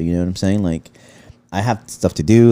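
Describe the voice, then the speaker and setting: A man with an American accent at a fairly quick pace, his tone dark and mellow, the sound dry and close with no echo. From Los Angeles, San Fernando Valley (Pacoima). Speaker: podcast co-host. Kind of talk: casual chat.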